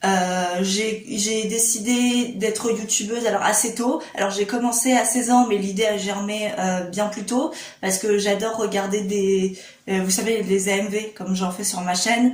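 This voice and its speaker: The speech comes at a fairly slow pace with fairly even intonation. Audible room echo and noticeable background noise fill the recording. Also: woman, fairly high pitch for a woman. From Réunion. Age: 20s. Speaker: YouTuber. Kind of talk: casual vlog talk to camera. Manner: hesitant, many fillers.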